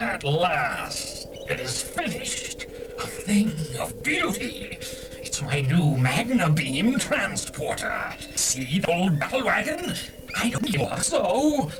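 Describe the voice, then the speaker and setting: A man puts on a character voice with a high pitch, speaking at a fairly slow pace over loud background noise. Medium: audio drama. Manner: menacing, gloating.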